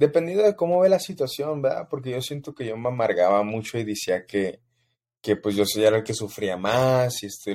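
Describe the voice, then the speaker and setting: With a Mexico City accent, the speaker has a dark, mellow tone, lively intonation and a moderate pace. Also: man. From Mexico City, Mexico. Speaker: podcast host. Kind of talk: casual solo monologue.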